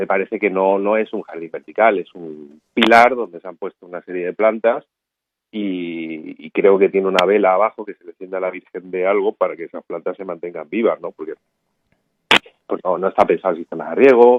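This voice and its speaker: His pitch fairly low and his intonation fairly even, a man speaks at a fairly quick pace. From Ceuta, Spain. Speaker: biologist and vertical garden expert. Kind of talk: radio interview. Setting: radio interview.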